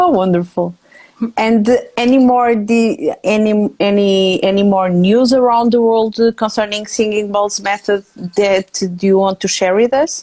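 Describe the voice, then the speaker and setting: With a Portuguese accent, a woman talks at a fairly slow pace in a fairly high pitch, her tone dark and mellow, with ordinary pitch variation and very even loudness. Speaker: interview host. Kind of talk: casual interview. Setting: Instagram Live video call. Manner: halting.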